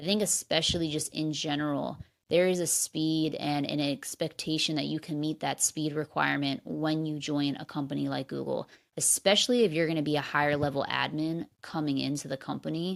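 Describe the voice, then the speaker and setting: This woman has a very deep, low pitch and an American accent, speaking at a fairly quick pace. Her intonation is fairly even, and the recording is very clean with a silent background. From New Jersey / New York area, US. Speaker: podcast host, former executive assistant. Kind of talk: solo podcast advice talk.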